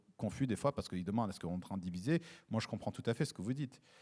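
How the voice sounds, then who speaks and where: On a very clean recording with a silent background, a man's dark, mellow tone moves with lively intonation. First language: English (speaking French). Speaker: diplomat. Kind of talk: panel discussion. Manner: halting, many fillers and repetitions.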